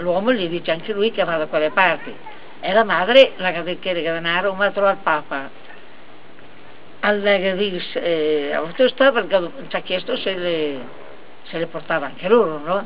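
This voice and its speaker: A woman with a Lombard accent at a moderate pace, fairly low in pitch, with ordinary pitch variation, long, frequent pauses and light background noise. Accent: Brescian dialect. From Brescia, Italy. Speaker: family storyteller. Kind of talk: joke telling. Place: garden. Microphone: camera far.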